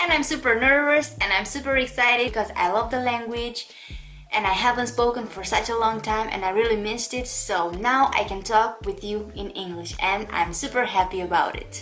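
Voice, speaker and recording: Faint music sits behind a woman whose fairly high voice moves at a moderate pace. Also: ordinary pitch variation. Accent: Romanian. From Romania. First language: Romanian. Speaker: makeup youtuber; beauty vlogger. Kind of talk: tutorial; casual vlog chat. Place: home room.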